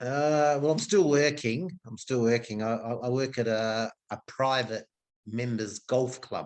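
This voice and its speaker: With an Australian accent, a man of medium pitch speaks at a fairly slow pace with ordinary pitch variation. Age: 60s. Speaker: golf club food and beverage worker. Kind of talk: casual chat.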